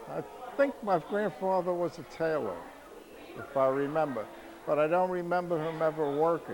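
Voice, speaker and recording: Amid noticeable background noise, a man with an American accent speaks at a moderate pace with ordinary pitch variation and long, frequent pauses. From New York City (Harlem, Bronx). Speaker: family elder interviewed. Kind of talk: family oral history interview.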